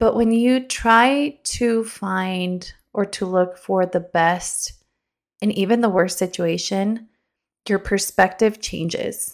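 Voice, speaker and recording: A woman talks very slowly, her medium pitch showing ordinary variation. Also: very clean recording, silent background. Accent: Spanish. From North Carolina, raised from age six; born in Mexico. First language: Spanish. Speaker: podcast host. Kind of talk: motivational monologue. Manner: casual, with filler words.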